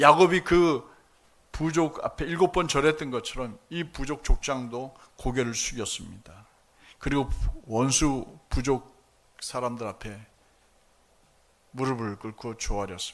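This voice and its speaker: On a very clean recording with a silent background, a man speaks very slowly at a medium pitch, with ordinary pitch variation and long, frequent pauses. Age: 60s. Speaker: pastor. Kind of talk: sermon. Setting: church service with congregation.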